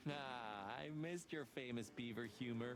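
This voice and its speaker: Through loud background noise, a man puts on a character voice at a medium pitch and a moderate pace. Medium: video game.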